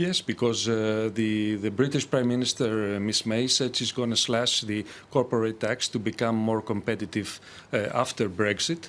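This man speaks with a Greek accent. His intonation stays fairly even. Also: moderate pace. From Greece. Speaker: economist. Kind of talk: televised panel debate. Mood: calm, measured. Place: studio.

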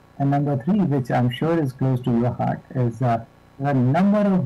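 A man's dark, mellow, somewhat breathy voice. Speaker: panel moderator. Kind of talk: conference introduction questions. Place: office. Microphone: video call.

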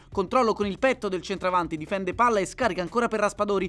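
A high-pitched man speaks in an energetic tone with ordinary pitch variation. The recording is very clean, with a silent background. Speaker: football commentator. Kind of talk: sports highlights commentary, voiceover. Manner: fast, rapid-fire play-by-play; energetic, building up at goals.

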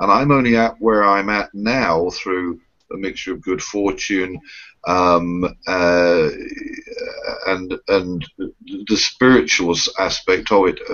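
A man with a British accent speaks at a fairly slow pace and a fairly low pitch. His pitch varies in an ordinary way over a quiet background. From UK. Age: 50s. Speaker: reverend and spiritual show co-host; spiritual show co-host. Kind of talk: casual chat. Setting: video call. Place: home room. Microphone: webcam.

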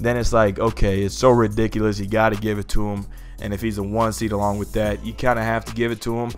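A man's fairly low, monotone voice with flat intonation at a very fast pace, with music in the background. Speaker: sports channel host. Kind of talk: commentary.

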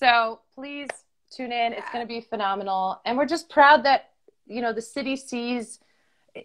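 A woman's high voice moves at a moderate pace with ordinary pitch variation and big swings in loudness. The background is quiet. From US Northeast (Stamford, Connecticut); US Northeast. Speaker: TV host and professional dancer; TV host. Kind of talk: casual chat. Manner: animated. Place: home room. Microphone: video call.

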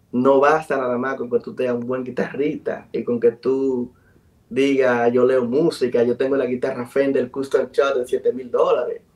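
At a fairly slow pace, a man delivers his words with monotone, flat intonation. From Dominican Republic, south (Enriquillo); Dominican Republic. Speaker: musician and producer; guest. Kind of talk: interview. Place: home room. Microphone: video call.

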